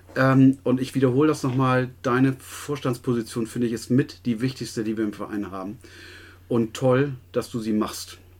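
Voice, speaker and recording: An unremarkable speaking voice from a man at medium pitch, moderate in pace with fairly even intonation, on a very clean recording with a silent background. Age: middle-aged. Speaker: sports club podcast co-host. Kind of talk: casual chat. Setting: small room above the club office.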